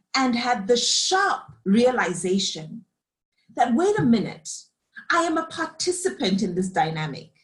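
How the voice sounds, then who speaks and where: A woman talks with very wide pitch swings and a somewhat breathy voice. Her pace is moderate. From Zimbabwe. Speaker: leadership coach and facilitator. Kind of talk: reflective interview conversation.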